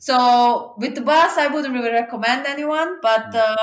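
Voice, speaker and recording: With music in the background, a woman speaks in a high pitch with a Serbian accent and ordinary pitch variation. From Serbia, small eastern mining village. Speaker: traveler. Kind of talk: interview. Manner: halting with fillers.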